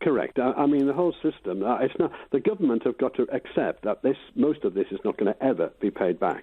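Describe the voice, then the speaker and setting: A man rattles along at a very fast pace with hardly any pauses and very even loudness. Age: 70s. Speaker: caller. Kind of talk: radio phone-in.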